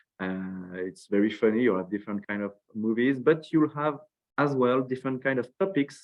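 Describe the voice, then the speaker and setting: A man with a French accent talks at a medium pitch, and his pitch variation is ordinary. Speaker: school representative. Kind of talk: webinar presentation. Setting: online webinar. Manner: halting, many fillers and repetitions.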